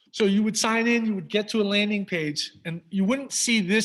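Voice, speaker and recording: A man speaks with an American accent. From New York. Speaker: high school staff presenter. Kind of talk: presentation to parents with screen demo. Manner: fast; animated.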